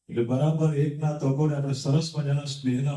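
A man speaks in a dark, mellow tone with a fairly high pitch and a somewhat breathy quality. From Mumbai, India. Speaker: politician and community leader. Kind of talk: public speech.

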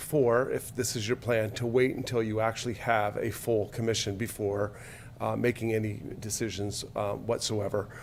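This is a man speaking at a moderate pace. His pitch is medium. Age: 60s. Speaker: public commenter. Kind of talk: public comment at hearing. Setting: podium at public meeting. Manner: halting, many filler words.

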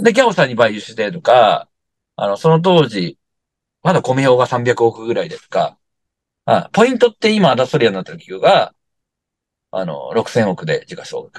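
Speaking at a moderate pace, a man leaves long, frequent pauses and swings widely in loudness. The sound is dry with no echo, over a quiet background. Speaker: company founder; interviewee. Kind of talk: interview. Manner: casual, many fillers. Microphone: video call.

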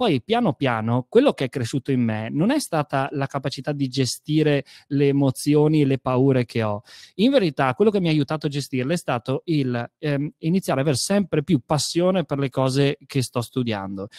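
A man speaks at a fairly high pitch with ordinary pitch variation, his dry voice free of echo over a quiet background. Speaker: storyteller and creative studio director; guest. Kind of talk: online talk on storytelling; interview answer. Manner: animated, restless; fast. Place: home room. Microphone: studio mic.

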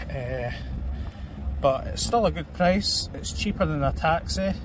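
Dry with no echo, the recording has a man speaking at a fairly slow pace amid noticeable background noise. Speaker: travel vlogger. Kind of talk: casual tutorial vlog chat. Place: street. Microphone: phone near.

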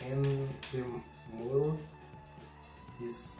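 With audible room echo and noticeable background noise, a man speaks at a medium pitch with ordinary pitch variation. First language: not English. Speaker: combat robot builder. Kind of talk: casual talk to camera. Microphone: camera far.

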